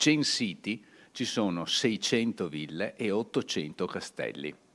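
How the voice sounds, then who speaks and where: At a very slow pace, a man talks with a fairly low pitch and lively intonation. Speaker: author giving a talk. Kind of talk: lecture. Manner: hesitant, with frequent fillers.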